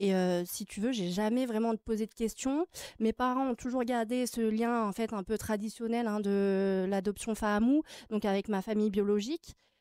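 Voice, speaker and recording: Over a quiet background, a woman talks at a moderate pace with a fairly high pitch and fairly even intonation. Her tone is dark and mellow, and the sound is dry with no echo. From France (Grenoble area), born in Tahiti. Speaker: adoptee sharing her story. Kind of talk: TV interview. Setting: TV studio. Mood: calm, reflective, personal. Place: studio. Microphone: studio mic.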